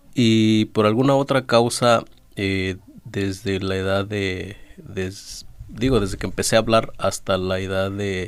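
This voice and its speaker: This man's voice sits at a fairly low pitch with fairly even intonation. He speaks at a very slow pace. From Oaxaca, Mexico (Zapotec village, Valles del Sur). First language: Zapotec (speaking Spanish). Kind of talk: radio interview. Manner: halting, many fillers.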